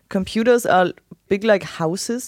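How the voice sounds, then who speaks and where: At a fairly slow pace, a woman talks in a German accent. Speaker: host's wife. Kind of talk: casual chat.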